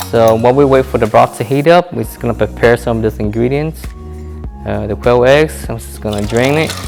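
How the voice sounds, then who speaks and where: A soft-spoken man at fairly low pitch, with very wide pitch swings and a fairly quick pace, over music in the background. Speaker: home cook. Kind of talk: casual cooking tutorial to camera.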